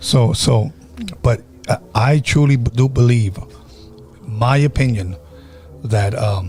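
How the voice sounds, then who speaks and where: Over music in the background, a man talks at a very slow pace with long, frequent pauses, very even loudness and ordinary pitch variation. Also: medium pitch for a man. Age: 50s. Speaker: podcast host. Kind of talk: casual chat.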